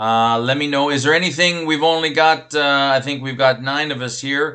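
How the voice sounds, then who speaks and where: A bright, sharp tone comes at a moderate pace with fairly even intonation. The background is quiet. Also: man. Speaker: college biology instructor. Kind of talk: online class lecture. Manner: casual, filler-heavy.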